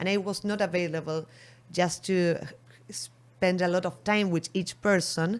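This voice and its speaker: Monotone, flat intonation at very even loudness. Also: woman, medium pitch for a woman, fairly slow pace. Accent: Argentine. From Argentina. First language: Spanish. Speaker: beverage marketing entrepreneur. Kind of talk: interview. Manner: halting.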